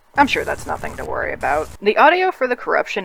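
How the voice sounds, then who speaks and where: Noticeable background noise accompanies a man speaking fairly quickly. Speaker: hobbyist animator and video creator. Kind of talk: behind-the-scenes commentary narration.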